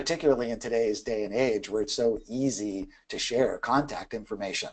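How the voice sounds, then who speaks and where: Against a quiet background, a man with a normal speaking voice talks at a fairly quick pace, medium in pitch with fairly even intonation. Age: 50s. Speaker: keynote speaker and sales trainer. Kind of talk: webinar Q&A. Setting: online web class. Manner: casual, filler-heavy.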